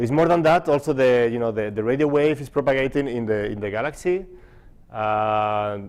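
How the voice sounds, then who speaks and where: Lively in intonation, a man with a non-native accent talks at a very fast pace. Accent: foreign. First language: not English. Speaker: physicist. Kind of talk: conference talk. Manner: halting, many fillers.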